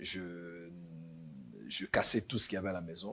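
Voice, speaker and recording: A man speaks at a moderate pace. His very deep, low voice has a bright, sharp tone. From Benin (Cotonou). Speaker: pastor. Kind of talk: interview testimony. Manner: halting, repeats words.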